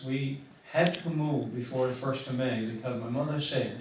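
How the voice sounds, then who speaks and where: With a Newfoundland accent, a man speaks in fairly even intonation over noticeable background noise. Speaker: recitation performer. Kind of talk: casual talk to audience.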